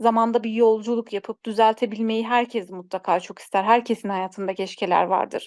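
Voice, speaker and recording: A woman with a plain, everyday voice, fairly high pitch, fairly even intonation and a moderate pace, in a dry, close sound with no echo and a quiet background. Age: 30s. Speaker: computer instructor and sociology student. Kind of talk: personal interview.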